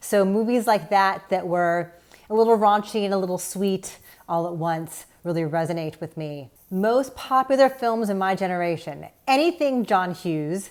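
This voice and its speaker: This is a normal speaking voice with lively intonation. It moves at a moderate pace. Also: woman, medium pitch for a woman. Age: 40s. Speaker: film critic and podcast host. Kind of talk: prepared commentary.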